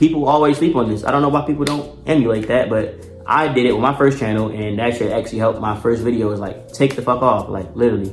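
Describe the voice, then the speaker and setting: Music plays in the background as a man with an American accent talks at a very fast pace in an animated tone. His pitch is medium with ordinary variation, and room echo is audible. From Baltimore, US. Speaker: YouTuber giving advice. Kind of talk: casual tutorial monologue. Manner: animated, casual.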